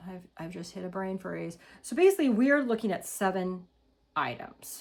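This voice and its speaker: A woman with an ordinary speaking voice talks at medium pitch and a moderate pace, with lively intonation and big swings in loudness. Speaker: lifestyle vlogger. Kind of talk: casual haul review.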